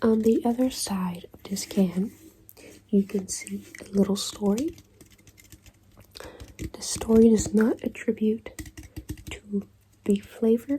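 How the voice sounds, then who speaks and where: Soft-spoken, the voice moves at a very slow pace with long, frequent pauses. Noticeable background noise runs underneath. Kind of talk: ASMR soft-spoken explanation. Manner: soft-spoken, slow, deliberate.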